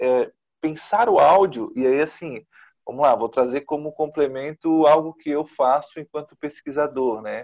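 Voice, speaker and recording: A fairly high-pitched man with a Brazilian accent at a fairly slow pace, against a quiet background. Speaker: journalist, interviewer. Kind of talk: interview. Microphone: recorded on a mobile phone.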